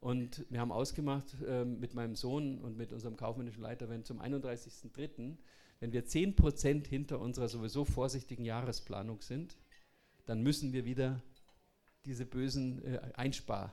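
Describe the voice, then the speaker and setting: With a dark, mellow tone, a man speaks at a moderate pace and medium pitch, his intonation fairly even. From Bavaria. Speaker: entrepreneur. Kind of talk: talk.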